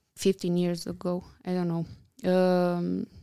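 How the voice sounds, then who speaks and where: Very slow and dark, mellow in tone, a woman with a Romanian accent speaks in a dry, close sound with no echo on a very clean recording with a silent background. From Romania, Bucharest. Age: 30s. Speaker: architect and interior designer. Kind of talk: casual interview chat. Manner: hesitant, many fillers.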